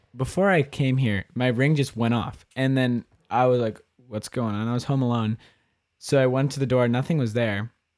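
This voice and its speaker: At a moderate pace, a man with medium pitch and fairly even intonation speaks in a plain, everyday voice. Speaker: podcast guest. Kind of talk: casual chat.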